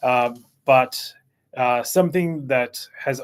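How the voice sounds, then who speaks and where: A man talks with fairly even intonation on a very clean recording with a silent background. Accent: Australian. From Australia (Canberra), born in Chile. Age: 40s. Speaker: CEO of a digital marketing agency. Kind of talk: interview. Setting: YouTube live stream.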